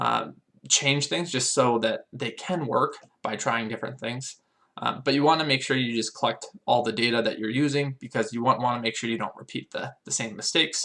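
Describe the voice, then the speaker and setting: Here a man talks at a fairly quick pace. His tone is bright and sharp. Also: medium pitch for a man, ordinary pitch variation. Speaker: business vlogger. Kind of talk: casual monologue to camera. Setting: on camera. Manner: fast; halting, many fillers.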